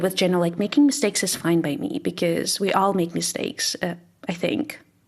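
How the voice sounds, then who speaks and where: Her pitch swinging very widely, a woman with a Russian accent speaks at a fairly quick pace. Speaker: English teacher. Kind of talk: casual chat.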